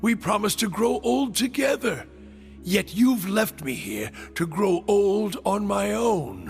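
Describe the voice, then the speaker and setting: Clear music plays in the background as a man uses a put-on character voice. His pitch is high and his pace fairly slow. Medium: video game.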